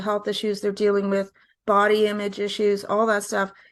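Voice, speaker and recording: A woman with a Canadian accent speaks at a fairly high pitch. The background is quiet. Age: 60s. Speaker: singer-songwriter. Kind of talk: interview.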